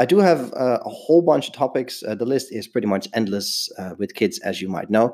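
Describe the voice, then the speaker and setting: Speaking at a moderate pace, a man uses lively intonation in a dark, mellow tone. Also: medium pitch for a man. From Netherlands. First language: Dutch. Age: 30s. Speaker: stay-at-home dad podcaster. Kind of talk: solo podcast monologue. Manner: hesitant with frequent fillers.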